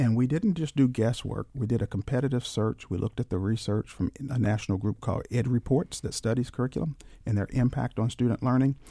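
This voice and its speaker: A man speaks at a very fast pace with hardly any pauses, in a dark, mellow, somewhat breathy tone. The sound is dry and close, with no echo. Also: medium pitch for a man, ordinary pitch variation. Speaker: school superintendent. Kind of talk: radio interview. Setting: studio. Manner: formal.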